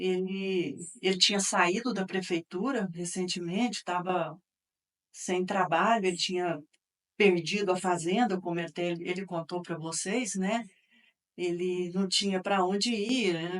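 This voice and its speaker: A woman speaks in a plain, everyday voice. Her intonation stays fairly even at a medium pitch. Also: fairly slow pace. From Minas Gerais, Brazil (Campo Florido / Uberaba). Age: 60s. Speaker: interviewee, daughter of local politician. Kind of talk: interview testimony.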